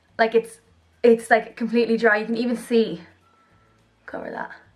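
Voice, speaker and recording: A woman with an Irish accent, enthusiastic in tone, at a fairly high pitch and moderate pace, with music in the background. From Ireland. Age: young. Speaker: beauty vlogger. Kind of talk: casual product review to camera. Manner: chatty, enthusiastic.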